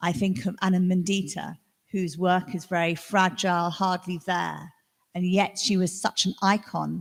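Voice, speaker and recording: In a plain, everyday voice, a woman speaks fairly slowly at a fairly low pitch, her intonation fairly even. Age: 60s. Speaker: artist. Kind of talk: panel discussion.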